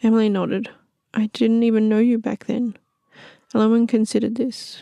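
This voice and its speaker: A soft-spoken woman's fairly high voice, dark and mellow in tone, at a fairly slow pace, with a dry, close sound and no echo. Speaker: storyteller narrating her own original fantasy stories. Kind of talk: soft-spoken fantasy audiobook-style narration. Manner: soft-spoken, gentle, calm.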